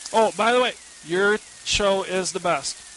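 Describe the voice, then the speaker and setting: Against noticeable background noise, a man speaks fairly slowly at a high pitch with fairly even intonation. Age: 30s. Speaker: listener and Linux student. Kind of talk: recorded listener tip.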